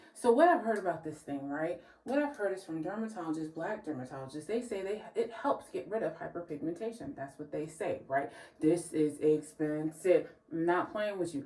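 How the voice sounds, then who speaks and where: Over noticeable background noise, a woman with a fairly low pitch talks in an animated tone at a fairly quick pace, her pitch swinging very widely. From New Jersey. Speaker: beauty vlogger. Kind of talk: casual vlog.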